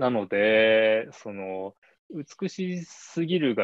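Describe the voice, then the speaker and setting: A medium-pitched male voice with lively intonation. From Japan, Shizuoka. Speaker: ikebana artist. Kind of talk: interview. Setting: online call.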